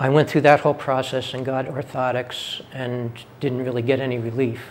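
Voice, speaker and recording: Spoken at a moderate pace with flat, monotone intonation and an American accent, the clip has noticeable background noise. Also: man, medium pitch for a man. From New York City. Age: 60s. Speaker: patient. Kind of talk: testimony.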